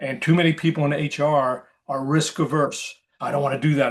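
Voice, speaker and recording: A man speaks with a somewhat breathy, fairly high voice against a quiet background. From New York City area. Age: 70s. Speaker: hiring consultant, recruiter. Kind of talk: webinar presentation. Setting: video call. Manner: fast; animated.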